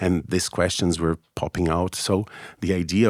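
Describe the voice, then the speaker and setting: In a very clean recording with a silent background and a dry, close sound with no echo, a man with a Brazilian Portuguese accent speaks at a moderate pace, his pitch very deep and low and his intonation monotone and flat. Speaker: business trainer, former lawyer. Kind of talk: interview conversation. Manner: halting, self-correcting.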